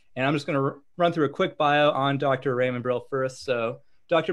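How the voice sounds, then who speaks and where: Over a quiet background, a man is speaking. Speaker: podcast host. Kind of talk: reading a guest introduction. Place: home room. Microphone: video call.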